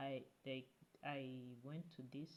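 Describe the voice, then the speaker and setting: Very slowly and in a monotone, flat intonation, a woman with a very deep, low pitch speaks in a non-native accent. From Africa. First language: not English. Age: 20s. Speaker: YouTube vlogger. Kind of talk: casual vlog talk to camera. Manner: halting, with many fillers and restarts.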